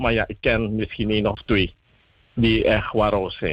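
This man talks at a medium pitch. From Suriname. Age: young. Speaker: youth group spokesperson. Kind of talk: radio interview.

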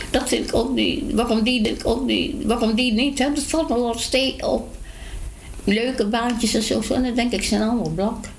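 Over noticeable background noise and audible room echo, a woman talks at a moderate pace with a high pitch, fairly even intonation and very even loudness. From Dutch East Indies (Indonesia), Dutch family. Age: 80s+. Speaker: elderly resident. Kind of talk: casual interview.

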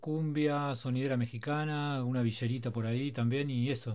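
A man with a dark, mellow tone speaks at a moderate pace in a medium pitch with fairly even intonation. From Argentina. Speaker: DJ. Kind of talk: casual interview and music presenting.

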